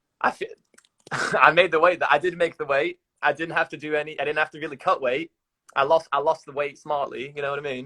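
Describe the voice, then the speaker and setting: A man speaks fairly quickly in a fairly high voice with a bright, sharp tone. His intonation is monotone and flat, while his loudness swings widely. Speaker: college wrestler. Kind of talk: casual chat. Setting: Instagram live video stream.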